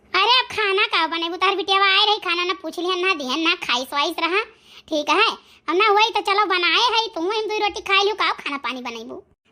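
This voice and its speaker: In a squeaky, cartoonish character voice, a woman chatters at a fairly quick pace with an extremely high pitch and lively intonation. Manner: homely, casual dialect chatter.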